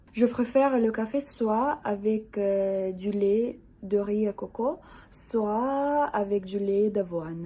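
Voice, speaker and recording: A woman with a Russian accent speaks very slowly in a dark, mellow tone, her fairly high pitch showing ordinary variation. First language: Russian (speaking French). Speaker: vlogger. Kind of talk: casual vlog. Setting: at home. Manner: halting, frequent 'euh'.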